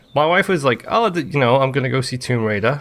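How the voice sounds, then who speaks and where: A man talks at a fairly quick pace with a slight Irish accent. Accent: slight Irish lilt. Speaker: gaming podcast host. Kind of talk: casual chat.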